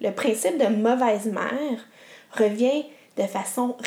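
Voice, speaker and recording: Here is a woman with a Quebec accent. She speaks at a fairly high pitch. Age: 30s. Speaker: podcast host. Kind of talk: solo podcast monologue.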